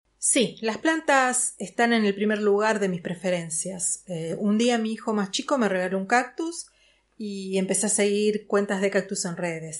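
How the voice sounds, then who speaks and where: At a fairly slow pace, a woman with an unremarkable speaking voice talks in a medium pitch with lively intonation. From Buenos Aires, Argentina. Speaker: plant workshop teacher. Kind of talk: interview.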